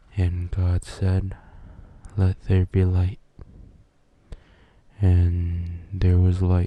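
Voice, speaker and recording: Soft-spoken and very slow, a man talks with a very deep, low pitch, monotone, flat intonation and long, frequent pauses. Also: very even loudness. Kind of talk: ASMR Bible reading.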